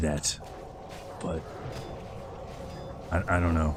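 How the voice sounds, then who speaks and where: This man talks with an American accent over noticeable background noise. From US Midwest. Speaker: video game streamer. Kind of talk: casual gameplay livestream chat. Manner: talks a little louder for clarity; grunting emphasis on words.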